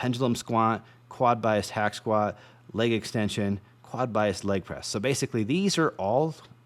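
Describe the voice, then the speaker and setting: With ordinary pitch variation, the man talks at a medium pitch. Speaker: fitness educator. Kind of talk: lecture. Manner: fast.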